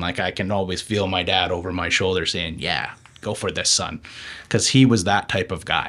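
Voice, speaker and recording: On a very clean recording with a silent background, a man with a Western Canadian accent speaks at a moderate pace with ordinary pitch variation. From Okanagan, British Columbia, Canada. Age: 30s. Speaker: city council candidate and food entrepreneur. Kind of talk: interview.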